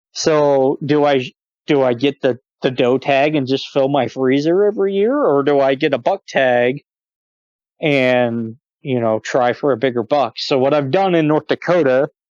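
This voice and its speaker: A normal speaking voice talks at a moderate pace with ordinary pitch variation. The sound is dry and close with no echo, and the loudness stays very even. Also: man, fairly high pitch for a man. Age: 30s. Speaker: hunter and gun enthusiast podcast guest. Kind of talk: casual chat.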